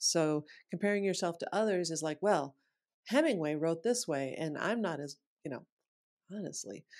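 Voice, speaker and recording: With an American accent, a woman talks at a moderate pace in a fairly low pitch, her intonation lively and her pauses long and frequent. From US Midwest, Sioux Falls, South Dakota. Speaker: author and voice expert. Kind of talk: interview.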